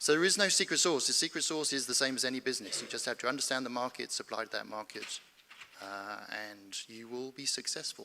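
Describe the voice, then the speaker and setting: A man's very fast British-accented delivery, medium in pitch with ordinary pitch variation and big swings in loudness. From United Kingdom. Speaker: space company founder, panelist. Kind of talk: conference panel discussion.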